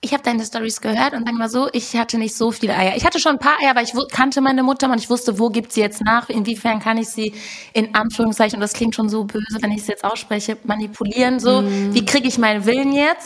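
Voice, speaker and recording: A woman talks at a very fast pace in a fairly high voice. Her intonation stays fairly even. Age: 20s. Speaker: musician. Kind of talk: casual chat.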